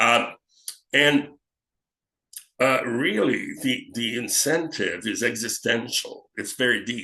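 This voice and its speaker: A man with a French Canadian accent speaks at a very slow pace, with long, frequent pauses. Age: 70s. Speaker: actor, film director and acting teacher. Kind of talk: interview conversation. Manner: halting, many fillers.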